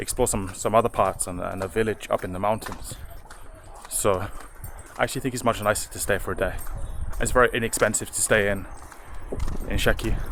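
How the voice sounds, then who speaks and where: A man with ordinary pitch variation talks at a fairly quick pace. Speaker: travel vlogger. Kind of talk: travel vlog. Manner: quiet; halting.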